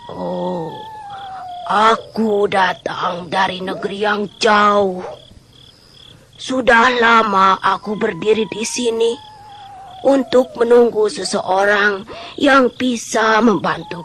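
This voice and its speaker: A woman's put-on character voice at a medium pitch, very slow, with long, frequent pauses. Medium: audio drama. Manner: wheedling, cackling.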